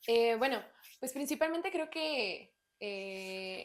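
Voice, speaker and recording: A woman in a central Mexican accent. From Mexico, Estado de México (Naucalpan). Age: 20s. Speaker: church worship team member. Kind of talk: testimony. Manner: hesitant, many fillers.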